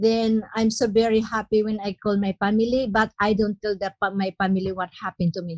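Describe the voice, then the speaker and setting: A woman at medium pitch speaks in a somewhat breathy, monotone, flat way at a fairly quick pace with hardly any pauses. The sound is dry and close with no echo, over a quiet background. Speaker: human trafficking survivor. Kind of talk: testimony. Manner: halting.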